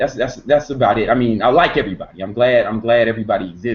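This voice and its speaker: A man speaks in an animated tone with an American accent. His pace is fairly quick. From South Side Chicago. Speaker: fitness YouTuber. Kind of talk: live stream Q&A. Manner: casual, repetitive, animated.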